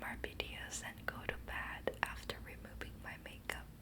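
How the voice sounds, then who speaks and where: A woman whispers rather slowly while noticeable noise fills the background. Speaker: ASMR creator. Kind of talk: whispered ASMR ramble to help viewers sleep. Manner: whispered, soft-spoken, slow.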